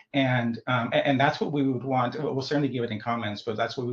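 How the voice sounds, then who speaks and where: With a somewhat breathy quality, a man speaks in fairly even intonation. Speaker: stakeholder participant presenting analysis. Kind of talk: public stakeholder meeting discussion. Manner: fast; halting, many repeated words.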